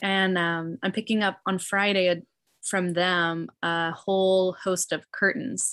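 On a very clean recording with a silent background, a woman with an American accent speaks in an ordinary speaking voice at medium pitch. Her pace is fairly slow and her intonation fairly even. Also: very even loudness. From US Midwest, Illinois. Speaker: refugee ministry organizer and English teacher. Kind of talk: interview.

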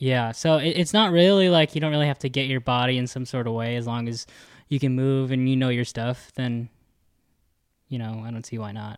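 A man talks in a plain, everyday voice at medium pitch and a fairly quick pace. His pitch variation is ordinary, on a very clean recording with a silent background. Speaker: stunt performer, podcast co-host. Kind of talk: casual chat.

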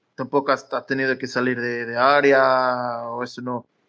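The tone is bright and sharp. A man delivers it very slowly. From Madeira, Portugal. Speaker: football fan. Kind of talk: casual match analysis chat. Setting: live audio room on social media, recorded as podcast.

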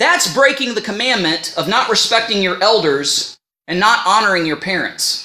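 Speaking at a moderate pace with an American accent, the voice comes through on a very clean recording with a silent background. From United States. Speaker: preacher. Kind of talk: sermon. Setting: church or meeting place.

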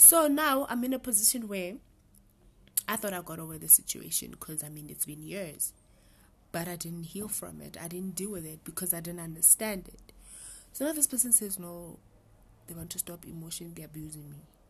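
Somewhat breathy and fairly low-pitched, a woman talks at a fairly quick pace with lively intonation, big swings in loudness and long, frequent pauses. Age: 20s. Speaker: podcast guest. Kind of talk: casual chat.

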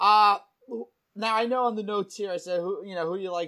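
A man's raised, projected voice with a New Jersey accent, bright and sharp in tone, fairly quick, with ordinary pitch variation. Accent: New Jersey American. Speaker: podcast host. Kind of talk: casual interview.

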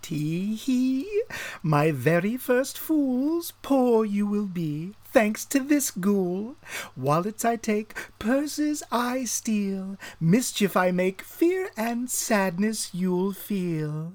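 Someone speaks at a very slow pace in a put-on character voice. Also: female-sounding voice, medium pitch for a woman. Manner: taunting, gleeful.

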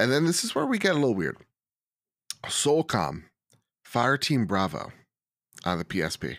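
Pausing long and often, a man speaks at a moderate pace with vocal fry and very wide pitch swings. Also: medium pitch for a man. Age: 30s. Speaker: gaming podcast host, guest. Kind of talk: casual chat. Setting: video call.

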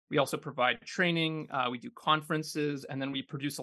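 With a Canadian accent, a man speaks at a fairly quick pace in a fairly high pitch, his tone bright and sharp against a quiet background. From Canada, Kitchener, Ontario. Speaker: urban placemaking nonprofit director. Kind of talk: casual interview.

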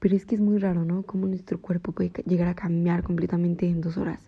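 A woman's fairly low, somewhat breathy voice at a fairly quick pace, with monotone, flat intonation. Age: 20s. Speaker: podcast host. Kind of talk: personal reflection monologue.

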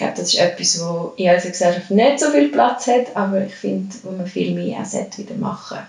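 Lively intonation and big swings in loudness mark a woman's medium-pitched speech. She goes at a fairly quick pace with hardly any pauses over noticeable background noise. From Switzerland, Lucerne. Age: 30s. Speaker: yoga and fitness coach. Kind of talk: casual interview.

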